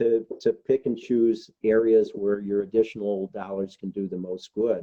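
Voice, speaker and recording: A man with a Chicago accent, fairly low pitch, fairly even intonation and a moderate pace. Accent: Chicago American English. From US Midwest, Chicago. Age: 70s. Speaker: nonprofit executive. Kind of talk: interview. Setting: video call. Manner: halting, many repetitions.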